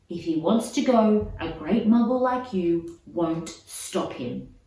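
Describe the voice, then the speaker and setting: A female-sounding, put-on character voice growls at a middle pitch and a fairly slow pace. There is a slight echo. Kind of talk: defiant, gruff. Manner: growling.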